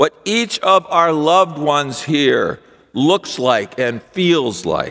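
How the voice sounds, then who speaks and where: A man's bright, sharp tone comes through over a quiet background. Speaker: pastor. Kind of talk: sermon. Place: church. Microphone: podium.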